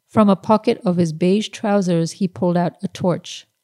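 Dry and close with no echo, a woman speaks at a fairly low pitch with a dark, mellow tone. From Pakistan. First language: Urdu. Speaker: novelist. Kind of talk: reading aloud.

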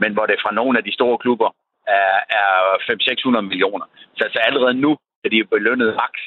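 Here a man talks at a moderate pace. He leaves long, frequent pauses. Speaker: football club director. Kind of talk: interview.

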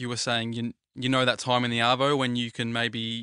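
Against a quiet background, a man with an Australian accent speaks at a fairly quick pace and medium pitch, his tone bright and sharp, the sound dry and close with no echo. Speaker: radio audio producer. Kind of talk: casual chat. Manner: animated.

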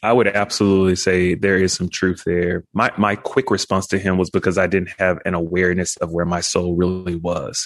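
A man with an American accent speaks in a very deep, low pitch at a moderate pace. His intonation is monotone and flat, with hardly any pauses. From Texas, South Dallas. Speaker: pastor. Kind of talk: interview conversation.

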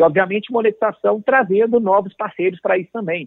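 A man is the one talking. His delivery is fairly quick. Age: 30s. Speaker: lawyer and football club presidential candidate. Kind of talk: interview.

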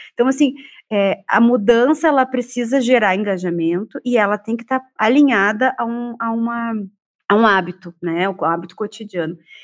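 A woman with an ordinary speaking voice talks at a moderate pace in a fairly high pitch, with ordinary pitch variation. The recording is very clean, with a silent background. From Porto Alegre, southern Brazil. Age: 40s. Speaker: psychologist and researcher. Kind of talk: panel discussion.

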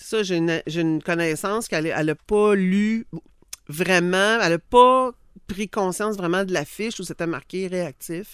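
Over a quiet background, a woman talks at a fairly slow pace in a Quebec accent. Her pitch varies in an ordinary way. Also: medium pitch for a woman. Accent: Québécois French. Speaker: dog behaviour and training expert. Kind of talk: casual expert chat.

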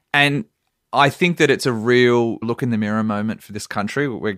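Moderate pace in an Australian accent, ordinary pitch variation, and a very clean, dry, close recording with a silent background and no echo. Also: man. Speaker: journalist. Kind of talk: casual chat.

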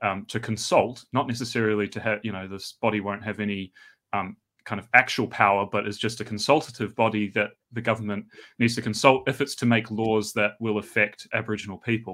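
Very clean recording, silent background, a man with a New Zealand accent, fairly low in pitch, fairly quick, with fairly even intonation. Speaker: New Testament scholar. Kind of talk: casual interview.

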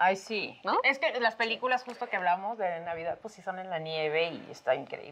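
With noticeable background noise behind her, a woman talks at a moderate pace and medium pitch, with lively intonation, big swings in loudness and hardly any pauses. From Mexico, Tamaulipas. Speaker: podcast co-host. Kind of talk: casual chat.

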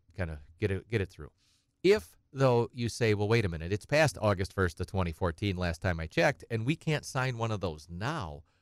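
A man with an Upper Midwest accent, fairly low in pitch, at a fairly quick pace with lively intonation and a dry, close sound with no echo. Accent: Upper Midwest American. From central Wisconsin. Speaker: estate planning attorney. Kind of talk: radio call-in advice. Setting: radio studio.

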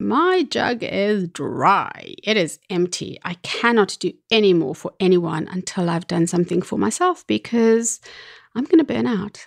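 A woman with an unremarkable speaking voice talks at a fairly slow pace and medium pitch, her intonation lively, in a dry, close recording with no echo. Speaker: podcast host. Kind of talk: solo monologue talk.

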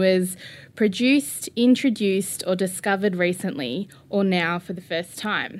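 A woman with an Australian accent speaks at a medium pitch in a very clean recording with a silent background. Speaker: storyteller and podcaster. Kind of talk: interview; storytelling performance.

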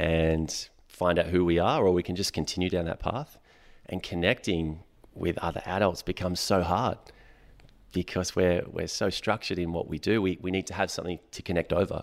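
On a very clean recording with a silent background, a man with an Australian accent speaks at a fairly quick pace. His pitch is very deep and low, and his intonation fairly even. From Western Sydney, Australia. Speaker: breathwork instructor. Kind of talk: casual chat.

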